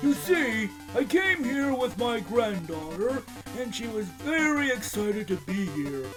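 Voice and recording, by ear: A man puts on a character voice, pitched extremely high with big swings, at a fairly slow pace. Music plays clearly in the background.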